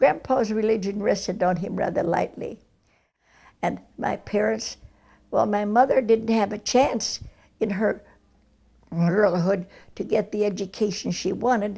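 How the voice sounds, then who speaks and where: A woman speaks with an American accent and a dark, mellow tone. Her voice has vocal fry, with long, frequent pauses. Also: medium pitch for a woman, fairly even intonation, fairly slow pace. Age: 80s+. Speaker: centenarian interviewee. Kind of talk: oral history interview.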